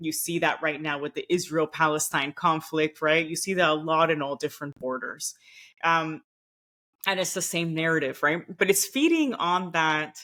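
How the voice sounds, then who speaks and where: The speaker has a Miami accent and a bright, sharp tone. The pace is moderate. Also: woman, very deep, low pitch for a woman. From Nicaragua, raised partly in Costa Rica and Venezuela. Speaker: former diplomat. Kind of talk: podcast interview.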